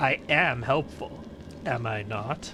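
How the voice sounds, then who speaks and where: This man uses a put-on character voice at a medium pitch. Background noise is clearly audible. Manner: suggestive, flirty.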